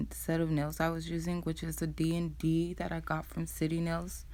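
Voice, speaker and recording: A soft-spoken woman talks at a moderate pace with audible room echo. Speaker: nail tech vlogger. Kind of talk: tutorial voiceover. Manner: casual.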